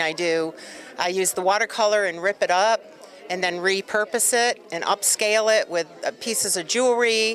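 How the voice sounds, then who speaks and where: Noticeable background noise sits behind the voice. A woman talks at a medium pitch and moderate pace. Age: 60s. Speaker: artist. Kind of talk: casual interview. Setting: event venue.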